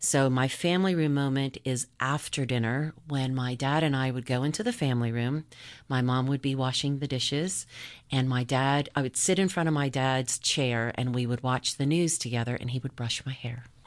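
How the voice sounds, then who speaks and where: Against a quiet background, a woman with an American accent speaks at a moderate pace in a very deep, low pitch with fairly even intonation. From US South, Charleston, South Carolina. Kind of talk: faith testimony on radio. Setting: radio studio.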